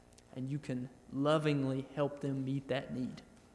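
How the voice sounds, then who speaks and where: Using a Southern US accent, a man with a fairly high pitch speaks at a moderate pace in a monotone, flat manner. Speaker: missionary. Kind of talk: church testimony.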